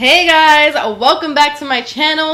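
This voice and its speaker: A woman's raised, projected voice at a moderate pace over noticeable background noise. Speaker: beauty vlogger. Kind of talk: tutorial. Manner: casual.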